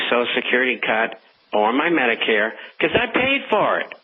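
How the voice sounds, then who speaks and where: Over clear background noise, the talking goes at a medium tempo. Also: man. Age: 70s. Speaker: newsletter editor, financial forecaster. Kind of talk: radio interview.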